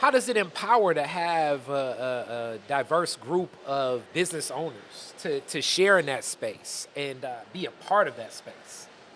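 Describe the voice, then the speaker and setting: In a normal speaking voice with an American accent, a man talks at a fairly slow pace with hardly any pauses, lively intonation, a fairly high pitch and big swings in loudness. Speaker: podcast host and interviewer. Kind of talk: interview. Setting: conference.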